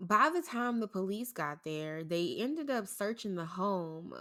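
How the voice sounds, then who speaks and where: A woman with a St. Louis accent speaks in a bright, sharp tone with lively intonation at a fairly slow pace. The recording is very clean, with a silent background. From St. Louis, Missouri. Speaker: podcast host. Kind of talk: casual chat.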